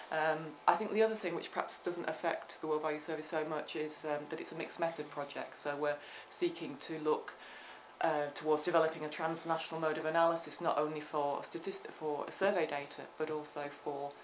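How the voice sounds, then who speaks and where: In a British accent, a woman with a very deep, low pitch talks fairly quickly in a flat monotone, with noticeable background noise and audible room echo. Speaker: professor. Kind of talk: academic seminar discussion. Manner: fast; hesitant, many fillers.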